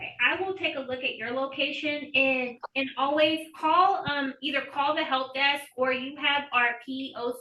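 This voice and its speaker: The voice is raised and projected, with hardly any pauses. Its intonation stays fairly even. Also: woman. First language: Spanish. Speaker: election official. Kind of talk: Q&A on a group call.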